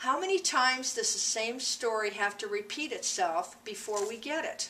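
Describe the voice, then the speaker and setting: Noticeable background noise sits under a woman speaking at a moderate pace with an American accent. Her pitch is high and swings very widely. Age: 60s. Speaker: school staff member. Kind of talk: prepared statement. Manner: formal.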